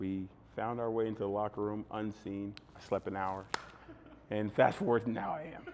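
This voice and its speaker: Noticeable background noise sits behind a man with a fairly low pitch who leaves long, frequent pauses. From Texas, Fort Worth. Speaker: former basketball player and podcaster. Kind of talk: casual podcast interview. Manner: animated, fast and long-winded.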